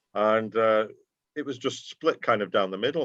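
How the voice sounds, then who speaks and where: A man with a Geordie accent, fairly low in pitch, at a moderate pace with ordinary pitch variation. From Newcastle, northern England (Tyneside), raised in North Manchester from age eight. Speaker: football fan and fanzine writer. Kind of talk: casual interview chat. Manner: conversational with frequent fillers.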